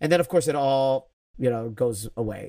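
An unremarkable speaking voice with an American accent talks at a moderate pace, the sound dry and close with no echo. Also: man. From Chicago, south side. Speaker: improv director and teacher. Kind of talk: casual interview.

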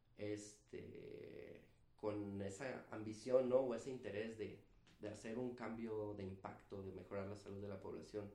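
Delivered at a fairly slow pace, the speech is monotone and flat, with audible room echo. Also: man, fairly low pitch for a man. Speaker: physician and public health specialist. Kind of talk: casual interview.

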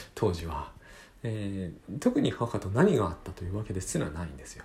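Speaking at a moderate pace, a man with a fairly low pitch sounds somewhat breathy. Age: 40s. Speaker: podcast host and author. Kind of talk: solo monologue podcast. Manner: halting, many fillers.

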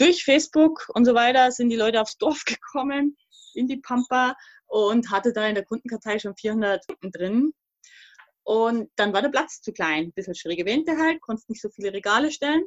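A woman talks at a moderate pace in a high voice with lively intonation. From Thuringia, East Germany; raised in Upper Palatinate, Bavaria. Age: 40s. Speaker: podcast guest, emigrant mother. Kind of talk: casual conversation.

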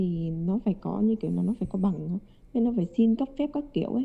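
Speaking at a fairly quick pace, a woman with an unremarkable speaking voice keeps a medium pitch with ordinary variation. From Hanoi, northern Vietnam. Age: 20s. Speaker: international student. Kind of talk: casual interview.

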